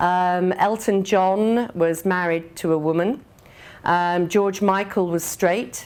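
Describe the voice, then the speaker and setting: Against a quiet background, a woman with an English accent speaks very slowly at medium pitch, with fairly even intonation and very even loudness. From England. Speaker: business executive. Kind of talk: conference speech. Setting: speaking at an event in Dublin.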